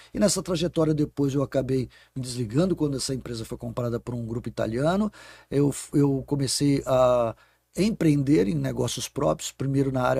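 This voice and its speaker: A man speaks at a medium pitch, somewhat breathy. The sound is dry and close, with no echo. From Brazil, São Paulo state (Guarulhos). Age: 60s. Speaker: innovation executive and professor. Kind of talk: podcast interview.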